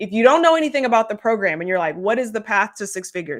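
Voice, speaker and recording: With an ordinary speaking voice, a woman speaks at a fairly high pitch with lively intonation on a very clean recording with a silent background. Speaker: business coach. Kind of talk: live stream sales pitch. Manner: casual with many fillers.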